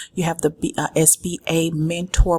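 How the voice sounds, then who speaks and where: Her pitch fairly low, a woman speaks at a fairly slow pace. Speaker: business vlogger. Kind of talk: tutorial. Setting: office. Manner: soft-spoken.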